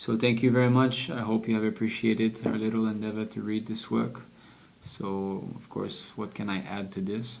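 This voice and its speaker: A man with a French accent talks at a moderate pace with fairly low pitch. His intonation is fairly even, and audible room echo is present. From French-speaking region. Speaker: devotional book reader. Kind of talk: reading aloud with commentary. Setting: livestream.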